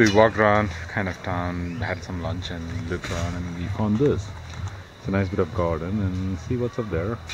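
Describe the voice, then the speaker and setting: Noticeable background noise sits behind a man with a very deep, low pitch. He talks at a moderate pace with fairly even intonation. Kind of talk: casual vlog chat. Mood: relaxed, pleased. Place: garden. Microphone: phone near.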